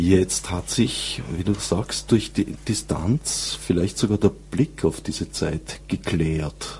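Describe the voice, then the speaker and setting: A man with a very deep, low pitch and very wide pitch swings, a very slow pace with hardly any pauses, over noticeable background noise. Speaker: radio host. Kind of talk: interview. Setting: studio.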